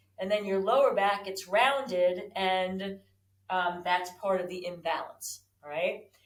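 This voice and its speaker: A woman talks at a fairly slow pace in a normal speaking voice, pitched in the middle of her range. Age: 60s. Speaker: fitness instructor. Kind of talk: exercise tutorial. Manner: casual, conversational with fillers.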